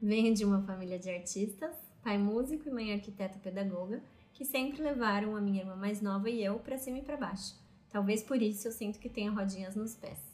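A woman's plain, everyday voice, medium in pitch, at a fairly quick pace with ordinary pitch variation. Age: 30s. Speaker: podcast co-host. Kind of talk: casual chat.

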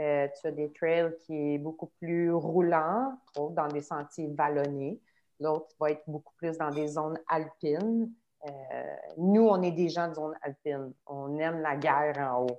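At a very slow pace, a woman speaks in a very deep, low pitch with ordinary pitch variation. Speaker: trail runner. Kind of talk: casual chat.

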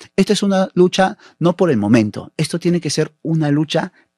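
On a very clean recording with a silent background and a dry, close sound with no echo, a man speaks in a dark, mellow tone with lively intonation. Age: 30s. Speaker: municipal election candidate. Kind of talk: political interview.

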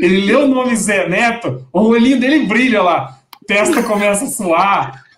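A man talks at a moderate pace with lively intonation, and audible room echo surrounds his voice. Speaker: football podcast host. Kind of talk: casual chat.

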